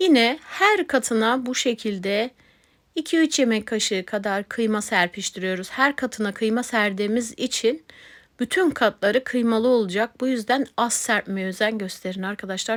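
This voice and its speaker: Here a woman talks in a fairly high voice with ordinary pitch variation. The recording is very clean, with a silent background. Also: dry, close sound with no echo. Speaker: cooking channel host. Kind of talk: cooking tutorial. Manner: slow.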